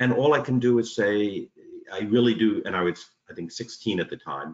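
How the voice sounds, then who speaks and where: A man with a New York accent speaks at a moderate pace and medium pitch, with ordinary pitch variation. There is audible room echo over a quiet background. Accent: New York American. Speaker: union organiser. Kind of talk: interview conversation. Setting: video call. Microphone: video call.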